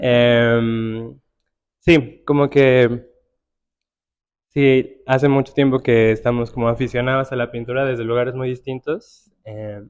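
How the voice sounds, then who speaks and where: A man speaks at a very slow pace. His medium pitch holds a monotone, flat intonation. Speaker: curator and writer. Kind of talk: panel conversation. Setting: art gallery with live audience. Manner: soft-spoken.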